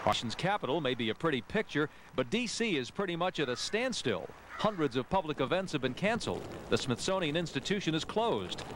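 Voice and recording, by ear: A man talks at a fairly quick pace with few pauses, his fairly high pitch taking big swings and his tone fairly bright.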